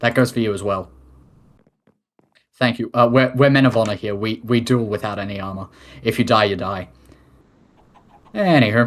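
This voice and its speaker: Pausing long and often, a man speaks at a medium pitch with fairly even intonation. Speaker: head of state in a game roleplay community. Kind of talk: formal address reading a report. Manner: fast.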